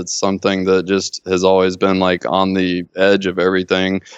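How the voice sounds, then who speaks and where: A man with a very deep, low pitch and a Southern US accent. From Mississippi, US South. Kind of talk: casual comedic chat.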